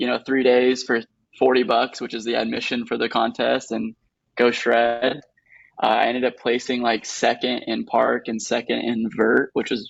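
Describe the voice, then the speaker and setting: Speaking at a moderate pace with an American accent, a man uses a medium pitch with vocal fry and a monotone, flat intonation. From California (Lodi, Central Valley). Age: 20s. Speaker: BMX rider. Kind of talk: interview. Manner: casual, filler-heavy.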